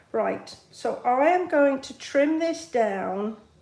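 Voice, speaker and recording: A woman speaks at a very slow pace, with audible room echo around her voice. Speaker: card-making demonstrator. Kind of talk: live craft tutorial with chat. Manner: casual, chatty.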